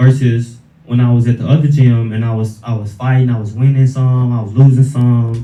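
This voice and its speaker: A man's dark, mellow voice comes out somewhat breathy and in a monotone, flat intonation. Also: medium pitch for a man, moderate pace. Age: 20s. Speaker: fighter. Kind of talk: interview.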